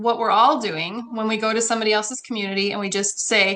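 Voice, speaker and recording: A woman's medium-pitched voice with a bright, sharp tone and fairly even intonation against a quiet background. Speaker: online community builder. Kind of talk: guest presentation in a live mastermind call. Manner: fast; casual, with fillers.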